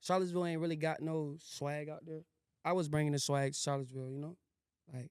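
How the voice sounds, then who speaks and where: A man with an Atlanta accent talks at a very fast pace, his fairly high voice monotone and flat. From Syracuse, New York; teen years in Virginia and Atlanta. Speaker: rapper. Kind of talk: podcast interview. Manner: casual, filler-heavy slang.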